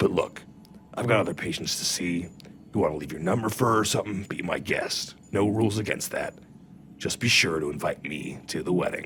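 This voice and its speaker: Putting on a raspy character voice, a man speaks at a fairly quick pace and a fairly low pitch over clear background noise. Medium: audio drama. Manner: dry, matter-of-fact.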